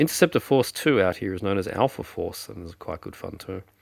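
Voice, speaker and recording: This man's pitch is very deep and low. He talks at a fairly quick pace. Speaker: film collector. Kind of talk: casual talk to camera.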